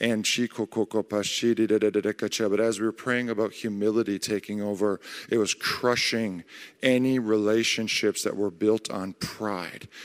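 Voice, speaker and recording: A man's fairly low, monotone voice at a very slow pace, flat in intonation, on a very clean recording with a silent background. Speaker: church member. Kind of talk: prophetic prayer with tongues. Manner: urgent, pleading declarations.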